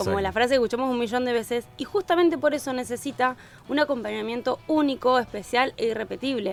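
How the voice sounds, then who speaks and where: A woman's high-pitched voice at a very fast pace, with music in the background. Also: ordinary pitch variation. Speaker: early education specialist and children's content creator. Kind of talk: podcast interview answer.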